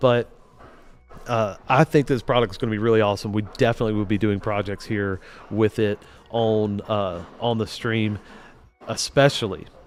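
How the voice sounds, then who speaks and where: Over music in the background, a man with a fairly low pitch and fairly even intonation leaves long, frequent pauses. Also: moderate pace. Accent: American. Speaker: automation engineer livestreamer. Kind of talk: casual livestream tutorial. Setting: livestream. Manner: casual, halting with fillers.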